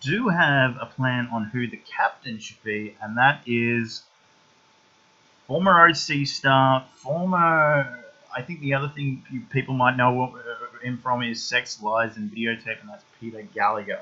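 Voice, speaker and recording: A man with an Australian accent speaks at a fairly slow pace in a medium pitch. His pitch varies in an ordinary way, while his loudness swings widely. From eastern Australia. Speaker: YouTube film reviewer. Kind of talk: casual vlog monologue. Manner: halting, many fillers and restarts.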